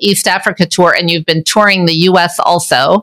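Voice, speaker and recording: A woman with an American accent uses a normal speaking voice at medium pitch, talking at a moderate pace with ordinary pitch variation. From Michigan, US. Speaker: podcast host. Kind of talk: interview.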